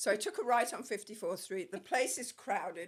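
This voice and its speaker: A woman's fairly high, bright and sharp voice at a fairly quick pace. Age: 60s. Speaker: costume designer. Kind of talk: casual chat.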